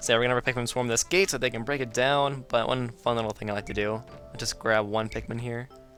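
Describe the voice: The delivery is plain reading aloud. Its intonation stays fairly even.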